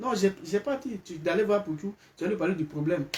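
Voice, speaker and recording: Animated in tone, a man talks at a moderate pace with ordinary pitch variation. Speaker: live streamer. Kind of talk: live stream commentary. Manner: loud.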